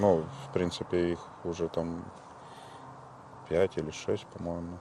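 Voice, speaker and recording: A man speaks at a very deep, low pitch. His pace is fairly slow and his intonation fairly even. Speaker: volunteer fighter. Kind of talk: interview. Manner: hesitant, filler-heavy.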